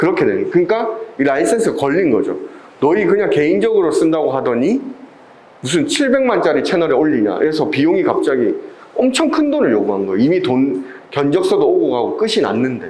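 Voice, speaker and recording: Amid audible room echo and noticeable background noise, a man with a Busan accent talks at a fairly quick pace with very even loudness. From Busan, South Korea. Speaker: video production instructor. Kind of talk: lecture.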